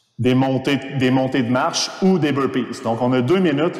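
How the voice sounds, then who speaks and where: Audible room echo surrounds a man's voice. His pitch variation is ordinary. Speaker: fitness coach. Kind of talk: tutorial. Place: gym.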